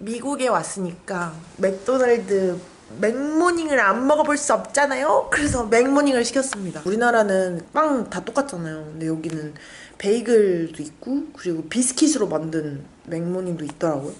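Very wide pitch swings mark a woman's speech. She talks at a moderate pace. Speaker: vlogger. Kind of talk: casual vlog chat. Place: home room. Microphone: phone near.

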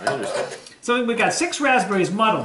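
A raised, projected voice moves at a fairly quick pace, with audible room echo and light background noise. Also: man. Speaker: podcast co-host. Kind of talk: casual podcast banter and recipe explanation. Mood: playful, joking. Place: home room. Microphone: phone near.

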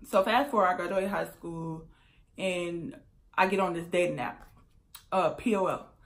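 Pausing long and often, a woman speaks at a fairly slow pace while her loudness swings widely. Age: 20s. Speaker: YouTuber. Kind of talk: storytime vlog. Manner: casual, filler-heavy. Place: home room. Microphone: phone near.

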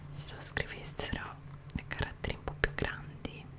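A woman whispers. She speaks at a fairly slow pace. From Italy. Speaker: ASMR creator. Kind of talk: ASMR show and tell. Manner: whispered, soft-spoken. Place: home room. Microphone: studio mic.

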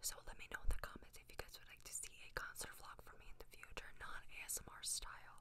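Whispering and soft-spoken, a woman talks at a fairly quick clip against noticeable background noise. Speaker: ASMR content creator. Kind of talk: soft casual vlog chat. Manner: soft ASMR whisper, close to mic. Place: home room. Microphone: studio mic.

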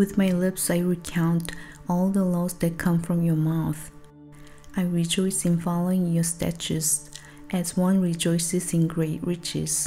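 Soft-spoken and calm, a woman talks at a fairly slow pace and a fairly low pitch. Her intonation is monotone and flat, with faint music in the background. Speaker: songwriter. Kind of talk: soft-spoken ASMR Bible reading. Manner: soft-spoken, calm, slow. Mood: earnest, devotional. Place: home room. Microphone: studio mic.

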